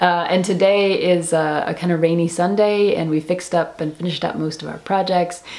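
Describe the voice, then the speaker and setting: Talking at a fairly quick pace with hardly any pauses, a woman uses a fairly low pitch and a monotone, flat intonation. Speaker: knitting podcast host. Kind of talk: casual vlog chat. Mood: cheerful, laughing. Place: empty room.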